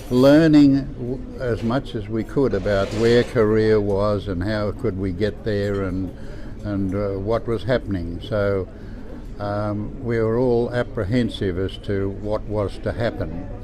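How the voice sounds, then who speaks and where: Over noticeable background noise and audible room echo, a man talks at a fairly slow pace, his fairly low pitch carrying fairly even intonation. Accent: Australian. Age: 80s+. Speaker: war veteran. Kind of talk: testimony. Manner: halting.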